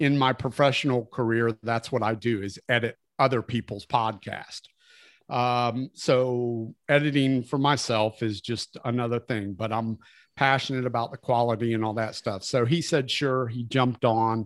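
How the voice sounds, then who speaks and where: A man speaks at a moderate pace in an unremarkable speaking voice, his pitch medium and intonation fairly even. The recording is very clean and dry and close, with no echo and a silent background. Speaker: rock podcast co-host. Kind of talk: casual interview chat.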